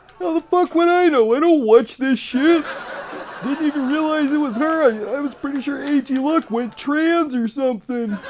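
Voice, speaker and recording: A cartoonish character voice rings out at a high pitch. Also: moderate pace. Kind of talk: cartoon parody voice. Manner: casual, teasing, rambling.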